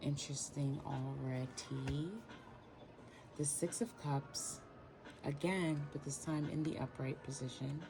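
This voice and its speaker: Soft-spoken and very deep, low in pitch, a woman speaks very slowly with fairly even intonation and long, frequent pauses over noticeable background noise. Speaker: tarot reader. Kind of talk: tarot reading.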